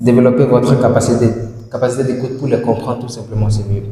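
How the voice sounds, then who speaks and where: In an African accent, a man talks at a medium pitch with monotone, flat intonation and audible room echo. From sub-Saharan Africa (francophone). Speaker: English language teacher. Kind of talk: tutorial. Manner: repetitive, slow drilling of words; hesitant fillers.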